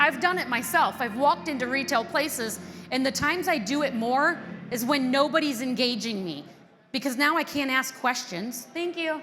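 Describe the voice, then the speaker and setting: Raising and projecting her high voice, a woman talks at a moderate pace in an animated tone with lively intonation, amid audible room echo and noticeable background noise. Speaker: conference presenter on dealership business. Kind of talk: conference talk. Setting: stage with audience. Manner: loud.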